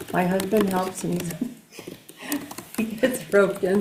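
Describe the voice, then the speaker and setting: Audible room echo and noticeable background noise accompany this recording. A woman speaks at a moderate pace with fairly even intonation. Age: 70s. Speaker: local resident and water board member. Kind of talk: casual chat.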